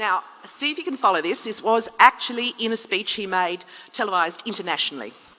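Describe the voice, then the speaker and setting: The pitch swings very widely. Noticeable background noise runs underneath. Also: woman. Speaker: chief executive officer. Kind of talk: public debate speech. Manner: humorous, lively.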